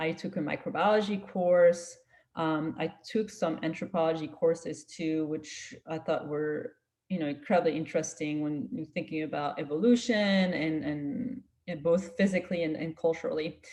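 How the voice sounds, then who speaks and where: With a French accent, a woman speaks at a fairly low pitch with ordinary pitch variation and a dark, mellow tone. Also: moderate pace. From France. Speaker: scientist. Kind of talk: career talk to students.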